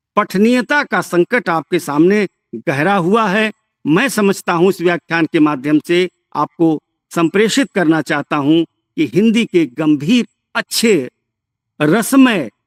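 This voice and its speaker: Lively intonation carries a man's high-pitched voice, recorded dry and close without echo. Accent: Bihari. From Bhojpuri-speaking region, eastern Uttar Pradesh/western Bihar. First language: Bhojpuri (speaking Hindi). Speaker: professor. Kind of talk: lecture. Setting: remote lecture from a village.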